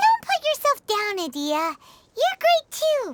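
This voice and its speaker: A woman puts on a squeaky character voice, extremely high in pitch and calm, gentle in tone. She speaks fairly slowly with very wide pitch swings. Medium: video game.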